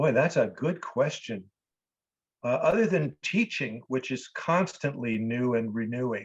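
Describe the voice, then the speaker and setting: A man's medium-pitched, somewhat breathy voice, fairly slow with long, frequent pauses and ordinary pitch variation, against a quiet background. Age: 60s. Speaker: actor and improv teacher. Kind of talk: interview.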